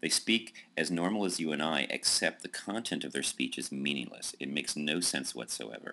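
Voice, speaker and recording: A man with a very deep, low pitch talks in a bright, sharp tone with vocal fry and hardly any pauses. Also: lively intonation, moderate pace. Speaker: college lecturer. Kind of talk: recorded lecture.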